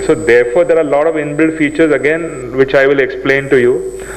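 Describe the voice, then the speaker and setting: A man's monotone, flat delivery at a very fast pace, with audible room echo and noticeable background noise. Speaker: seminar speaker. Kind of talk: lecture. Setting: seminar hall with audience.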